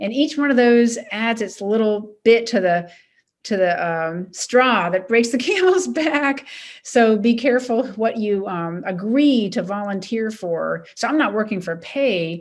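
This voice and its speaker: Here is an ordinary speaking voice: a woman with an American accent, fairly high in pitch. She moves at a fairly slow pace with lively intonation. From US Mid-Atlantic, Maryland. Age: 60s. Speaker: retired coast guard admiral. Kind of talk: interview.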